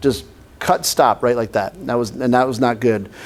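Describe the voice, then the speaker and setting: An animated man with an American accent. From northern US. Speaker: pastor. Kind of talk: sermon. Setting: church class with audience. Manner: conversational, animated.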